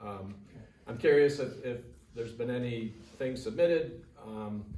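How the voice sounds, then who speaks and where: Audible room echo hangs around a man who speaks at medium pitch and a moderate pace with fairly even intonation. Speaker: resident at public comment. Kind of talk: public comment. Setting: township board meeting. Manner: loud; halting.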